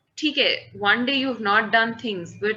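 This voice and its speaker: In an Indian accent, a woman speaks at a fairly high pitch and a fairly slow pace. Her tone is bright and sharp, with ordinary pitch variation. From Kolkata, India. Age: 20s. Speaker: event manager. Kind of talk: interview answer. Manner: casual, mixes Hindi phrases.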